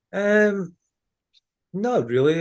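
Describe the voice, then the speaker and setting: Speaking in a strong Ayrshire accent, a man uses ordinary pitch variation. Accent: Ayrshire Scottish accent, still strong. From Scotland, Ayrshire. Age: 40s. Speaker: former professional footballer and baseball fan. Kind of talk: casual podcast interview.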